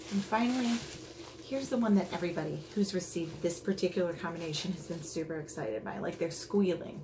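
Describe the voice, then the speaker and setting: A woman's fairly low voice at a very fast pace, with noticeable background noise and audible room echo. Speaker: beauty vlogger. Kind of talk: unboxing video. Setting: at home, others in the house. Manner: quiet; casual, rambling with fillers. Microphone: may be too quiet.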